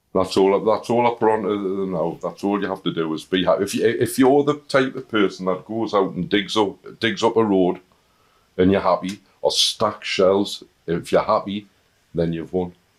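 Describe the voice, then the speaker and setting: A man with a strong Northern English accent talks at a moderate pace in a fairly low voice, with ordinary pitch variation. The recording is very clean, with a silent background. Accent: thick Northern English. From Northern England. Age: 50s. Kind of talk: interview answer. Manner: humorous, warm.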